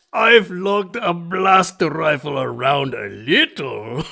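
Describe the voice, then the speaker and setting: Putting on a character voice, a man speaks at a high pitch. His pace is fairly slow. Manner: formal, courtly.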